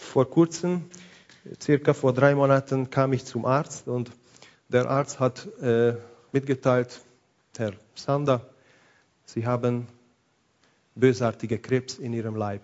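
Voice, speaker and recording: With a non-native accent, a man speaks very slowly at a medium pitch, with fairly even intonation and long, frequent pauses. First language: not German (speaking German). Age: 40s. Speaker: pastor. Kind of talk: sermon.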